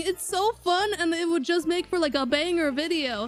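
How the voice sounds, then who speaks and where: There is noticeable noise in the background. A woman talks over it. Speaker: gaming streamer. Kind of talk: live gameplay commentary. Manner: casual, rambling.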